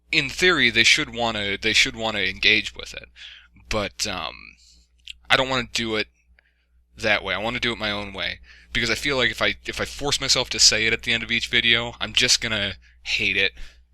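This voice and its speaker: With a bright, sharp tone and vocal fry, a man speaks at a fairly quick pace and with ordinary pitch variation. Long, frequent pauses break up his speech. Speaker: YouTuber giving channel update. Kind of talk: casual monologue. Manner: halting, many fillers.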